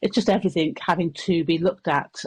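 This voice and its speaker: Fairly even intonation against a quiet background. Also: woman. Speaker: council leader. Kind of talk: radio interview answer. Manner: hesitant, many fillers.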